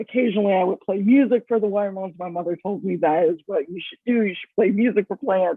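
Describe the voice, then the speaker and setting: In an American accent, a woman of medium pitch talks at a very fast pace with hardly any pauses, ordinary pitch variation and big swings in loudness. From San Francisco, California. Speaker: food writer. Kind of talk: interview.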